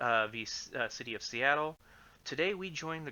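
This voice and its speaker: Quiet and fairly high-pitched, a man talks with ordinary pitch variation. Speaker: livestreamer reading case law. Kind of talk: reading aloud. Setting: livestream. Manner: halting. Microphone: complaints it is too quiet, mic amplified.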